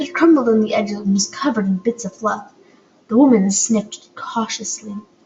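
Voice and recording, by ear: The passage is delivered as reading aloud in a natural voice.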